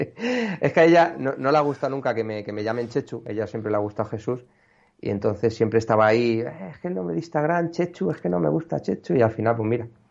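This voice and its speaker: This man speaks at a fairly quick pace and medium pitch. His pitch swings very widely. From Extremadura, Cáceres province (rural), raised partly in Madrid. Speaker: amateur landscape photographer. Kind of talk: casual interview. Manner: halting, frequent repetitions.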